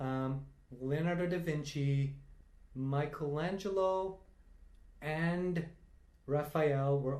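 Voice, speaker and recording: A man talks in a dark, mellow tone. Audible room echo surrounds his voice. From India (Tamil-speaking). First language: Tamil. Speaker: quiz enthusiast. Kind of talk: casual chat.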